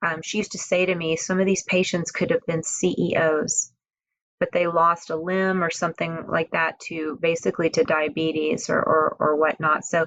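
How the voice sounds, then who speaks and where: A woman with an American accent speaks in an ordinary speaking voice. Her pitch is fairly low and her pace moderate. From Houston, Texas. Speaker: nonprofit founder and health advocate. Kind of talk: podcast interview.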